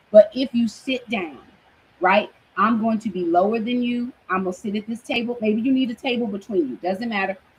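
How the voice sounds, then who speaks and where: Noticeable background noise sits behind a woman talking at a fairly quick pace, her fairly high pitch moving with ordinary variation in an animated tone. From Brooklyn, New York. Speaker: minister / online Bible teacher. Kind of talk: teaching sermon. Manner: loud by habit, tries to keep it down; animated, conversational.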